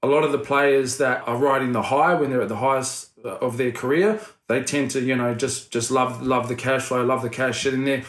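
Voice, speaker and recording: Speaking with hardly any pauses, a man keeps his intonation fairly even. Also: medium pitch for a man, moderate pace. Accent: New Zealand. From New Zealand, Wellington. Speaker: former rugby league player turned property investment businessman. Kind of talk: casual interview chat.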